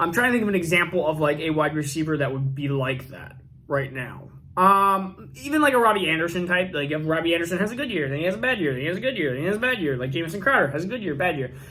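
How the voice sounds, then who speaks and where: A man speaks at a very fast pace in a high voice with lively intonation. Audible room echo surrounds him. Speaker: fantasy football youtuber. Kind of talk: youtube video commentary.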